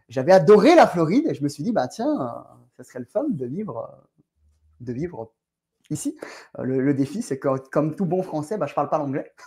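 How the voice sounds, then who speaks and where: A man's fairly high voice with a dark, mellow tone, lively intonation, a moderate pace and long, frequent pauses. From France. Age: 40s. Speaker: real estate entrepreneur. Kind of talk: podcast interview.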